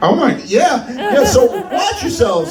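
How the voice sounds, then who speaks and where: A man speaks loudly at a moderate pace in an extremely high pitch, with audible room echo and music in the background. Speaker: stand-up comedian. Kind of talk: stand-up.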